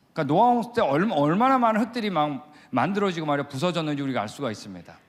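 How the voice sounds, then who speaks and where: Amid audible room echo, a man talks at a fairly quick pace with a fairly high pitch and very wide pitch swings. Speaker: creation science missionary lecturer. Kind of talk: lecture. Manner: fast; animated.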